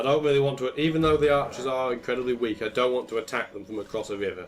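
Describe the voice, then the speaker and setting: Over music in the background, a man talks at a very fast pace in a medium pitch with ordinary pitch variation. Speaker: gaming commentator. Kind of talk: let's play commentary. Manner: casual, conversational.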